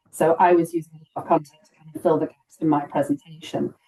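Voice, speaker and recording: Speaking at a fairly quick pace, a woman uses a dark, mellow tone and a fairly low pitch. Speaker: data visualisation accessibility speaker. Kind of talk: webinar presentation and Q&A. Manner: fast.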